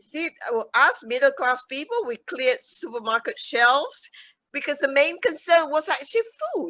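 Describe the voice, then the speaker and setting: A woman's raised, projected voice, high-pitched with very wide pitch swings, a bright, sharp tone and a moderate pace. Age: 70s. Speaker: charity founder. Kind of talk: interview.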